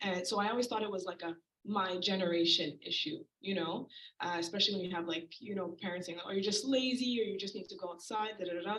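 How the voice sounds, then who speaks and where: A woman of medium pitch at a very fast pace, with ordinary pitch variation. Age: 20s. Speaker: audience member asking a question. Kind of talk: audience question. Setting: community event with audience.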